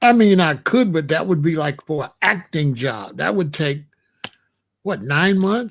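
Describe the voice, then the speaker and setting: Very wide pitch swings at a fairly slow pace, in an American accent. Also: man, fairly high pitch for a man. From Chicago, South Side. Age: 60s. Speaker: YouTube livestreamer. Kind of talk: casual livestream monologue. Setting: live stream, late night. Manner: rambling, repetitive restarts.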